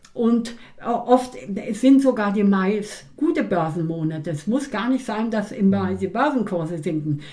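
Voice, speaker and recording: Intonation is lively while the pace stays fairly slow. Noticeable background noise can be heard. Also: woman, medium pitch for a woman. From East Germany. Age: 80s+. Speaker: stock market expert and author, retired teacher. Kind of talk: interview. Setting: at her home.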